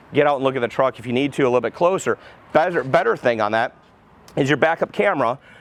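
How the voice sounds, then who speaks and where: Speaking at a very fast pace, a man has a medium pitch and an animated tone. His pitch varies in an ordinary way, and the background is quiet. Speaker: car dealership salesperson doing vehicle reviews. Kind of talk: product walkaround review.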